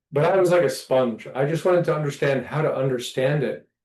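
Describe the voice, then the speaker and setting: This is a man with an ordinary speaking voice. He keeps fairly even intonation at a moderate pace. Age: 50s. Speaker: qigong teacher and martial artist. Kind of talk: casual chat.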